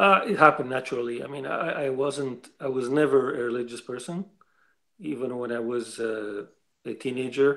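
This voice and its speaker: A man with a Lebanese accent, a bright, sharp tone, ordinary pitch variation and a moderate pace. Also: medium pitch for a man. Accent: Lebanese accent, noticeable. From Lebanon. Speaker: writer, interview guest. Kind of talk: interview. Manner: halting, repeats words.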